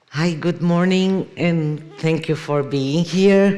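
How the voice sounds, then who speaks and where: A woman with a Brazilian Portuguese accent speaks in a dark, mellow tone with ordinary pitch variation. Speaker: keynote speaker, artist and professor. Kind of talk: conference keynote lecture. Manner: hesitant, with frequent fillers.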